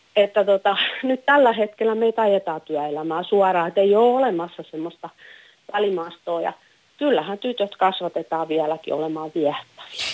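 A woman with an ordinary speaking voice talks at a moderate pace, medium in pitch, with lively intonation. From Finland, Häme. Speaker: caller. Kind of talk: phone-in discussion.

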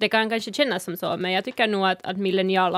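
The recording of a woman's medium-pitched voice has a dry, close sound with no echo. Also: very clean recording, silent background. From Sápmi, northern Finland. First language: Northern Sami (speaking Swedish). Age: 20s. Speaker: activist and podcast panelist. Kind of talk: casual chat. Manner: halting, many fillers.

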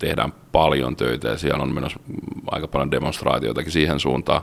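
A man at a fairly quick pace. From Finland, Rauma. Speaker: maritime automation engineer. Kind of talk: interview.

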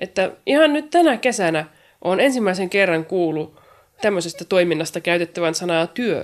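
On a very clean recording with a silent background, a woman with an unremarkable speaking voice talks at a medium pitch with lively intonation. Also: moderate pace. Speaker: poet and writer. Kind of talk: interview.

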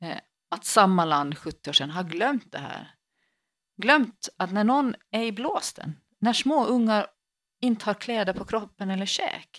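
On a very clean recording with a silent background, a woman with a Finland-Swedish accent speaks fairly slowly at a medium pitch, using lively intonation and big swings in loudness. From Finland, Swedish-speaking archipelago. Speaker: priest and podcast co-host. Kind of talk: casual chat.

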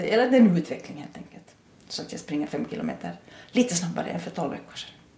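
A woman talks at a very fast pace in an Ostrobothnian accent. Audible room echo surrounds her. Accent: Ostrobothnian intonation in Finland-Swedish. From Ostrobothnia, Finland (Nykarleby). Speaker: adult education principal and German teacher. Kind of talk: interview. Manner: repeats words often, thinking aloud.

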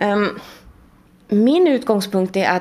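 An ordinary speaking voice belongs to a woman with a fairly high pitch and lively intonation. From Sweden. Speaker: literary researcher. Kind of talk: interview.

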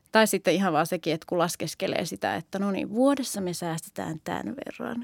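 A woman talks at a moderate pace with lively intonation and vocal fry. The sound is dry and close with no echo, a very clean recording over a silent background. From Finland, Oulu. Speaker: primary school teacher. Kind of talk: casual chat.

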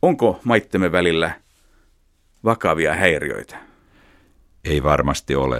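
A man talks at a very slow pace with long, frequent pauses, in a very deep, low voice with vocal fry. His intonation is lively. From Finland, Helsinki. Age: 50s. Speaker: radio journalist. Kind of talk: interview. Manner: formal.

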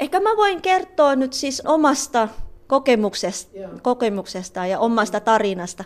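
A woman speaks at a fairly slow pace. She has a Tagalog accent. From Philippines. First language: Tagalog (speaking Finnish). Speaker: psychologist and trainer at a women's organisation. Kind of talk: interview testimony. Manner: halting.

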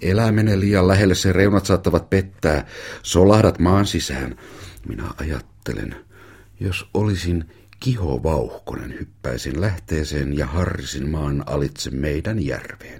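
Speaking at a very slow pace, a man with a very deep, low voice shows lively intonation and vocal fry. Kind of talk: audiobook reading of a memoir, narrated in a child's first-person voice.

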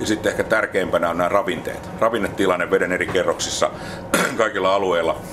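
A man rattles off his words at a very fast pace as noticeable background noise plays underneath. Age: 60s. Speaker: marine research manager. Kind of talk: interview. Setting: research ship at sea.

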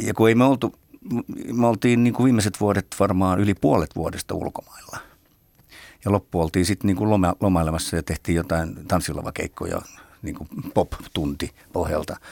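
This man's voice is very deep and low. It varies in pitch in an ordinary way. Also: moderate pace, dry, close sound with no echo, very clean recording, silent background. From Helsinki, Finland. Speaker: drummer. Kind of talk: interview.

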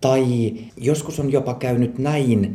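Audible room echo surrounds a man whose medium-pitched voice has a dark, mellow tone and is somewhat breathy. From Swedish-speaking Ostrobothnia, Finland (Pedersöre). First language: Swedish (speaking Finnish). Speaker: physician. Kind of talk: interview. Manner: halting, many fillers.

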